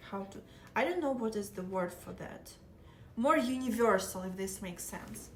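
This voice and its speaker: A woman with a Russian accent talks in big swings of loudness, with audible room echo. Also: medium pitch for a woman, ordinary pitch variation, moderate pace. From southeastern Ukraine. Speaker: live streamer. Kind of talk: casual chat.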